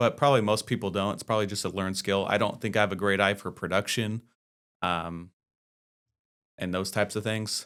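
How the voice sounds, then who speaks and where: Against a silent background in a very clean recording, a man with fairly low pitch and fairly even intonation talks at a fairly quick pace, broken by long, frequent pauses. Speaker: accountant and business advisor. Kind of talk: casual chat. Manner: soft-spoken; halting.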